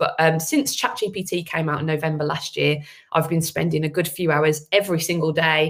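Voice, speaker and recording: With a Birmingham accent, a woman speaks at a moderate pace with a fairly low pitch and vocal fry. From Birmingham, England. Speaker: agency owner and AI speaker. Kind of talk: webinar presentation. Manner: many filler words.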